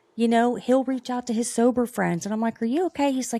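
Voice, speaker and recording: Very fast and in a Southern US accent, a woman speaks with a dark, mellow tone, the sound dry and close with no echo on a very clean recording with a silent background. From rural US South. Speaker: podcast co-host. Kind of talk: casual interview chat.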